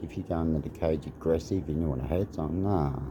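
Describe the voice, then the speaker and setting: A man's very deep, low voice in an Australian accent, calm and relaxed, with fairly even intonation. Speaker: martial arts fighter. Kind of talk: casual vlog monologue. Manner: calm, relaxed.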